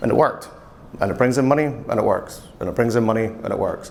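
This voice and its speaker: A man with a Scottish accent and fairly even intonation, amid audible room echo. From Scotland. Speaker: e-commerce and marketing manager. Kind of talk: conference talk. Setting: stage with audience. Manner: fast.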